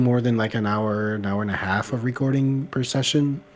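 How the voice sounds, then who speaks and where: Amid noticeable background noise, a man talks at a fairly quick pace with ordinary pitch variation. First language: French. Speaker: video creator. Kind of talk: casual chat.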